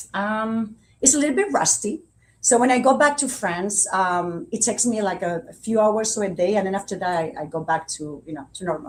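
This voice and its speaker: At a fairly quick pace, a woman talks at a medium pitch with lively intonation. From Spain. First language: Spanish. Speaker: Spanish teacher. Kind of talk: interview.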